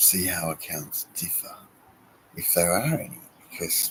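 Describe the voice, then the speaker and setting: This man is soft-spoken. His voice is pitched very deep and low. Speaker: wargaming hobby youtuber. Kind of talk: casual vlog update. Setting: garden shed. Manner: hesitant, many fillers.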